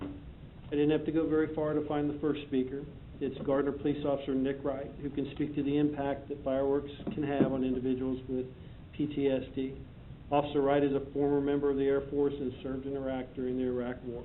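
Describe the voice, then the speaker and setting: Audible room echo carries a man's fairly high voice. He talks at a fairly quick pace with monotone, flat intonation. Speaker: police chief. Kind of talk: prepared presentation to council. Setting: city council meeting. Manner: fast.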